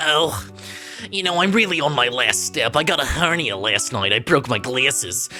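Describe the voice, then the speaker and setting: Over clear background music, a put-on character voice speaks at a moderate pace, gravelly and low-to-middle in pitch. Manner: complaining about ailments.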